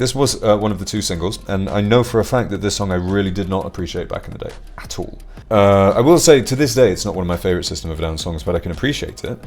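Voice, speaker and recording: Very fast speech from a man with a fairly low pitch, over noticeable background noise. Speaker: music reviewer. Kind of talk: album review monologue. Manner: casual, hesitant with fillers.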